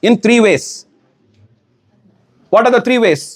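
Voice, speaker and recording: Speaking at a moderate pace, a man has an extremely high pitch. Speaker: ISKCON preacher. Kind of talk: lecture.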